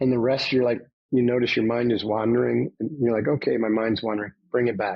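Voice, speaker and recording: The speaker has a plain, everyday voice with an American accent. The pace is fairly quick. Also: man. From upstate New York. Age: 60s. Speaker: former navy commando and trainer. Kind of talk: podcast interview.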